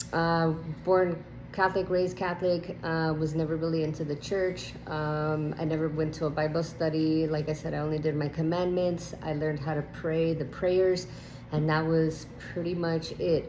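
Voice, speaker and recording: Monotone, flat intonation in a Spanish accent at a moderate pace, with noticeable background noise and audible room echo. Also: woman, very deep, low pitch for a woman. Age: 30s. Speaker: nurse sharing testimony. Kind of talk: testimony. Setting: at home. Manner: hesitant with many fillers.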